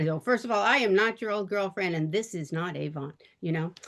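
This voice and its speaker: A woman's plain, everyday voice, fairly low in pitch, at a fairly quick pace. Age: 60s. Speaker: direct sales consultant. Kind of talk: casual talk. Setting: video call.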